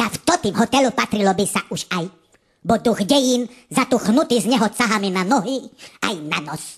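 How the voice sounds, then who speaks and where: A woman puts on a character voice. Her pitch is fairly high. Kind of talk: comic overacting. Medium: comedy sketch. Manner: pompous, convoluted, mixing eastern Slovak dialect.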